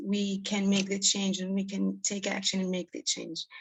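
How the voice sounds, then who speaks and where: Over noticeable background noise, a woman talks at a moderate pace in a medium pitch with monotone, flat intonation. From Israel. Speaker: teacher-researcher presenting at a conference. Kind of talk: conference Q&A reflection.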